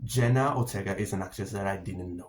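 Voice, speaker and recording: A somewhat breathy man with an Italian accent. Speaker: film and TV reviewer. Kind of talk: casual monologue review. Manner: halting, many fillers and repetitions.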